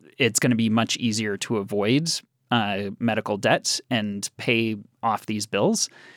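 In a very clean recording with a silent background and a dry, close sound free of echo, a man with an ordinary speaking voice talks at a fairly slow pace and a medium pitch. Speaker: health policy advocate. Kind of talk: radio interview.

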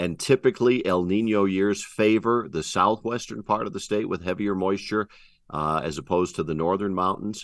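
With a normal speaking voice, a man at a fairly low pitch talks at a moderate pace with ordinary pitch variation over a quiet background. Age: 60s. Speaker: TV meteorologist. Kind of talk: radio interview.

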